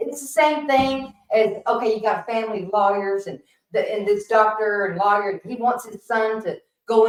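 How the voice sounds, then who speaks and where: Her voice fairly high, a woman with an unremarkable speaking voice talks at a moderate pace with ordinary pitch variation. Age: 60s. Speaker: podcast guest. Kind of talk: casual chat.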